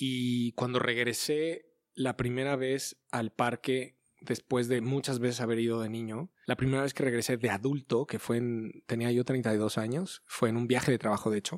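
A man with a plain, everyday voice at medium pitch, fairly even intonation and a moderate pace, in a dry, close sound with no echo. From Mexico City suburbs (Ciudad Satélite). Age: 40s. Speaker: university professor and TV presenter. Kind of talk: interview.

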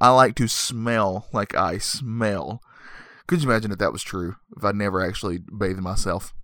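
The voice has a bright, sharp tone and a moderate pace. The recording is very clean, with a silent background. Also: man. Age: 30s. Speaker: podcast host, movie reviewer. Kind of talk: casual comedic monologue. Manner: rambling with frequent fillers.

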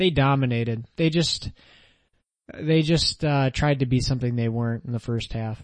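A man with a plain, everyday voice talks at medium pitch and a moderate pace, with ordinary pitch variation. The background is quiet. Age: 20s. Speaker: church podcast co-host. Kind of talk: casual chat about faith.

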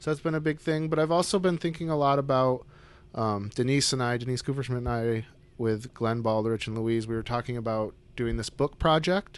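With an American accent, a man talks at a fairly quick pace in a plain, everyday voice of medium pitch and ordinary pitch variation, the background quiet. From upstate New York (Syracuse). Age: 40s. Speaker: painter. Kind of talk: casual chat. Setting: artist's studio.

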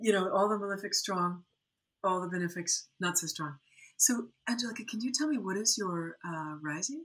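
A woman speaks at a moderate pace with an American accent. She has a plain, everyday voice. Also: medium pitch for a woman, lively intonation. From US Midwest, Lake Michigan area. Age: 50s. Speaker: Ayurveda and Jyotish teacher. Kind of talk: interview conversation.

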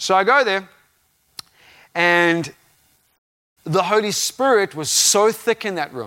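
Over a silent background in a very clean recording, a man speaks at a fairly slow pace. His tone is animated. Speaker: visiting preacher. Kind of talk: sermon. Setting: church with live congregation. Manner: loud.

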